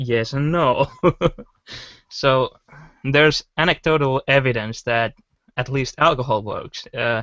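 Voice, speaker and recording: A man speaks at a fairly slow pace with a non-native accent. His pitch varies in an ordinary way. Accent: pronounces W as V. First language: not English. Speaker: podcast co-host. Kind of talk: casual panel discussion.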